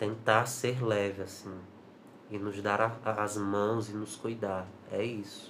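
Amid audible room echo and noticeable background noise, a man speaks very slowly in a fairly low, monotone and flat voice. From Brazil, Ceará (Juazeiro do Norte). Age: 20s. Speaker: actor and cultural producer. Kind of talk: interview.

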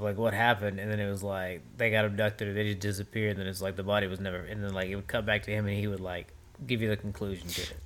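A man's fairly low voice at a very fast pace, in monotone, flat intonation. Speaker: podcast co-host. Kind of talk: casual chat.

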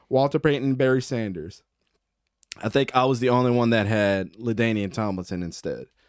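A man with an American accent in an unremarkable speaking voice, medium-pitched at a moderate pace, with ordinary pitch variation, very cleanly recorded over a silent background. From Baltimore, Maryland. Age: 30s. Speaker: football podcast host. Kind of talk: casual chat.

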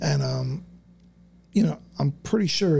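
A man with an American accent, a somewhat breathy, dark, mellow tone, medium pitch and very wide pitch swings. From South Florida. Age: 40s. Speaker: business owner. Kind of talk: casual chat.

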